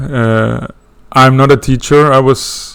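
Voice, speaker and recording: With a Swedish accent, a man speaks at a medium pitch and with fairly even intonation. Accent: non-native English, Swedish. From Sweden. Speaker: astrology student teaching a course. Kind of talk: lecture intro. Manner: halting, many fillers.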